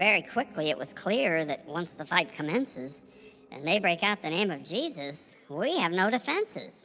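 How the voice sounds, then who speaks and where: At a middle pitch, the speaker uses a put-on character voice. The pace is moderate. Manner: dithering, rambling, flustered.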